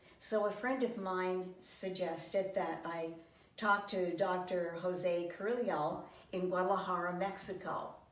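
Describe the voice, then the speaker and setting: There is noticeable background noise and audible room echo as a woman talks at a fairly slow pace with medium pitch. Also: fairly even intonation. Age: 80s+. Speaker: patient. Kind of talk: testimonial. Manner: halting.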